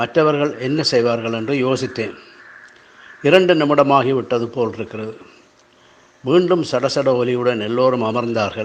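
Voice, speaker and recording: Noticeable background noise sits behind a man speaking with a Sri Lankan accent. His pitch is medium and his pace fairly slow. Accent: Sri Lankan Tamil. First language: Tamil. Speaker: writer. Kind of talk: reading aloud.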